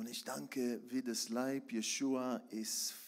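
The speaker is a man with a medium pitch. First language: Hebrew (speaking German). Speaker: preacher. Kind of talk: sermon. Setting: church.

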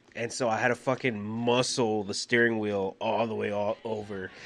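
A man does a put-on character voice that is gruff and strained, at medium pitch. He speaks at a moderate pace in a monotone, flat intonation. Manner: gruff strained, like an 80s wrestler.

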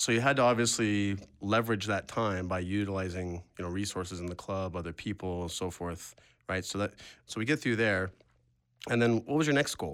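With ordinary pitch variation, a man talks at a fairly low pitch. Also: fairly quick pace. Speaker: podcast host and real estate investor. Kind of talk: casual interview chat. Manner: animated, laughs often.

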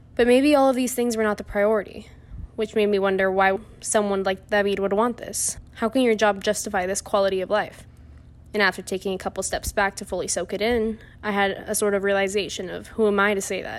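A woman's medium-pitched, flat, monotone delivery at a fairly quick pace. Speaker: college student. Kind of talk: personal story reading.

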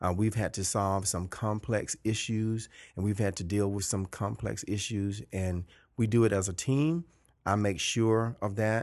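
Speaking at a moderate pace, a man with a Georgia accent has a fairly low pitch and ordinary pitch variation against a quiet background. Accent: Southern American (Georgia). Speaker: high school principal. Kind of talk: interview conversation. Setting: principal's office.

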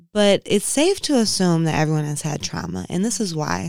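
A woman with an American accent talks at a moderate pace in a fairly low pitch and an ordinary speaking voice, on a very clean recording with a silent background. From Inkster, Michigan (Detroit area). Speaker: yoga and mindfulness practitioner. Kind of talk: casual interview.

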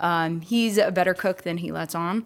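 A woman with an unremarkable speaking voice and a medium pitch talks with lively intonation. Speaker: podcast host. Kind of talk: casual chat.

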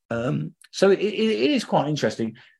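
Someone with a South London accent speaks at a moderate pace in a very clean recording with a silent background. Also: man. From London, England (Lewisham). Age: 50s. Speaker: ecologist. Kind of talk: interview.

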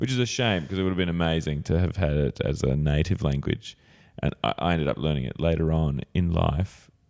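With an Australian accent, a man talks at a fairly quick clip in a very deep, low voice. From Australia, Sydney. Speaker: improv comedian and teacher. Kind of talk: casual chat.

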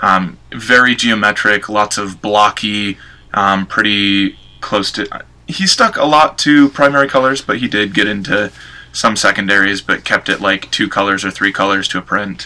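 At a moderate pace, the speaker delivers words in a bright, sharp tone. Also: man, fairly low pitch for a man, ordinary pitch variation. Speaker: guest presenting an artist. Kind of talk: casual chat, informal presentation. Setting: Skype call.

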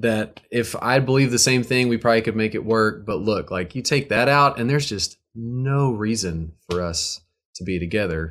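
In an American accent, a normal speaking voice runs on with hardly any pauses and ordinary pitch variation. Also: man, medium pitch for a man, moderate pace. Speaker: musician and recording artist. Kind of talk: casual interview chat. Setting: online video call. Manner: joking, playful.

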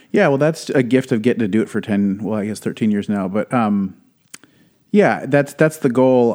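A man with an American accent and a normal speaking voice talks at a fairly quick pace and medium pitch. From Wisconsin. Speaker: pastor. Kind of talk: casual chat.

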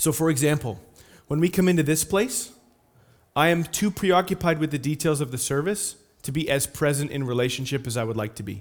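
Lively intonation and a fairly quick pace mark this very clean recording with a silent background. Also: man, fairly high pitch for a man. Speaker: pastor. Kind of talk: sermon. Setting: church. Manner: fast.

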